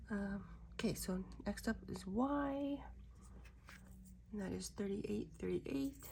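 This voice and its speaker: A woman talks at a fairly slow pace. Her speech has long, frequent pauses. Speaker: diamond painting content creator. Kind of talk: casual crafting vlog. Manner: casual, chatty.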